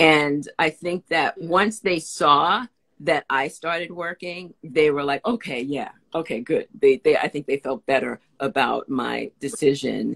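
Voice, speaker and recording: A woman with an American accent at a fairly slow pace over a quiet background. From New York, the Bronx. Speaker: actor and writer; actor. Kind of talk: casual chat. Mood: warm, upbeat. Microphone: video call.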